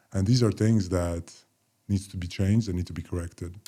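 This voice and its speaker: A man's fairly low, dark, mellow voice at a fairly quick pace on a very clean recording with a silent background. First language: Polish. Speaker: former professional basketball player. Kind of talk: casual chat.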